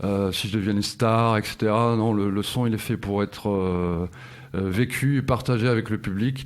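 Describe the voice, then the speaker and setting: A man speaks at a moderate pace with fairly low pitch, very even loudness, and ordinary pitch variation. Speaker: singer-songwriter and guitar teacher. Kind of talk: radio interview. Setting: live radio studio, filmed.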